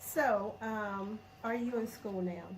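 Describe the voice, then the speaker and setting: A woman speaks in a Southern US accent. Noticeable background noise and audible room echo fill the recording. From Alabama, US South. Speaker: vlogger. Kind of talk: casual interview chat.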